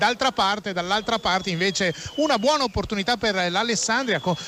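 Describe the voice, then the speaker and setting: Over noticeable background noise, a man speaks very fast in a raised, projected voice with a high pitch. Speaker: sports radio commentator. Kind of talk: live football radio commentary.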